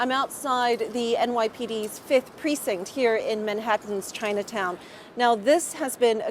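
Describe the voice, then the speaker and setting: Against noticeable background noise, a woman with a fairly high pitch speaks at a moderate pace with ordinary pitch variation. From Singapore. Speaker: TV news correspondent. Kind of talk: TV news report.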